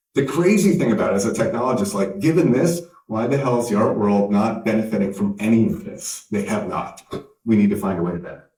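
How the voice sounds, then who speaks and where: Speaking very fast in an American accent, a man with a medium pitch uses lively intonation amid audible room echo. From Canada. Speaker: tech company founder and CEO. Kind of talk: conference keynote speech.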